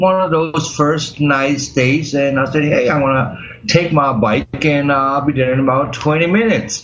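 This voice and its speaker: Speaking at a fairly slow pace, a man with a fairly high voice is heard through audible room echo and noticeable background noise. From Germany. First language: German. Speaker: accident survivor, medical cannabis patient. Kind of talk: interview. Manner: halting.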